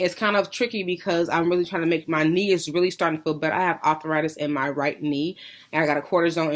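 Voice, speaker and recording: A woman with a very deep, low pitch speaks very fast with fairly even intonation on a very clean recording with a silent background. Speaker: vlogger sharing weight-loss surgery journey. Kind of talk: casual video diary.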